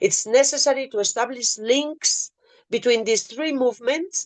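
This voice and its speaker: Against a quiet background, a woman with a Spanish accent talks at a moderate pace in a dry, close sound with no echo. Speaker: peace activist. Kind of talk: prepared speech.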